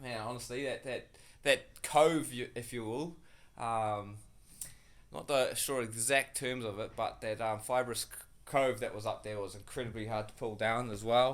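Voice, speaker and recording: At a medium pitch, a man speaks with a New Zealand accent and fairly even intonation. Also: moderate pace. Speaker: builder. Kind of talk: casual vlog. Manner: halting, many fillers.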